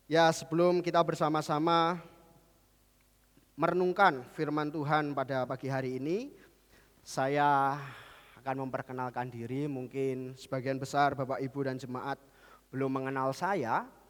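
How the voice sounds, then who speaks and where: At a moderate pace, a man with a fairly high pitch keeps his intonation fairly even and leaves long, frequent pauses, on a very clean recording with a silent background. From Central Java, Kudus. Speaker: pastor. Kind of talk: sermon. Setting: church.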